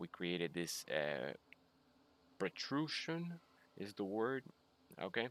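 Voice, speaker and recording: A man speaks with a Spanish accent. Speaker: video game streamer. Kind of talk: live gameplay stream chat. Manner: halting, many fillers and repeats.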